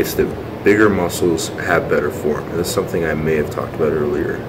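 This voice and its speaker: A man is talking, with noticeable noise in the background. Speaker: fitness vlogger. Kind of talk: casual vlog chat. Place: gym. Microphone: phone near.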